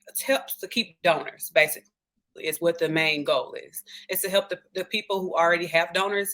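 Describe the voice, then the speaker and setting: A woman with a Southern US accent talks at a fairly quick pace, her medium-pitched voice bright and sharp in tone. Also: ordinary pitch variation. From US South, Memphis, Tennessee. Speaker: respiratory therapist turned tech sales rep. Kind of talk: interview.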